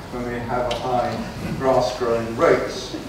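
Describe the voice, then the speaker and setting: Noticeable background noise and strong room echo. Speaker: council executive member. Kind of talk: council meeting debate. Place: hall.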